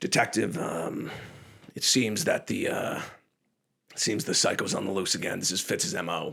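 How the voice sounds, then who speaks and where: A man puts on a raspy character voice at a medium pitch, with very wide pitch swings. He moves at a moderate pace, broken by long, frequent pauses. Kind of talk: film noir pastiche. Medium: solo performance.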